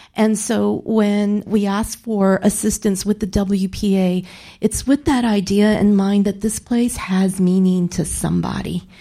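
On a very clean recording with a silent background, a woman with an American accent speaks at a fairly slow pace and medium pitch, her somewhat breathy, dark, mellow voice monotone and flat in intonation and very even in loudness. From San Antonio, Texas (West Side). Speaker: cultural historian. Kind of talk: panel discussion.

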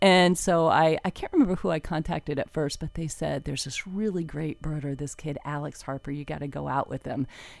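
Speaking with an American accent, a woman holds a very deep, low pitch and fairly even intonation. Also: fairly quick pace, hardly any pauses. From South Florida, US. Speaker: environmental reporter. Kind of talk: casual interview.

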